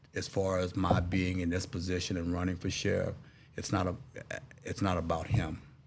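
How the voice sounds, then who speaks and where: Very deep and low, a man's voice comes through at a moderate pace with an American accent. His intonation is monotone and flat, and room echo is audible. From Texas, Dallas. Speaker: political candidate, navy veteran. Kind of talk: interview.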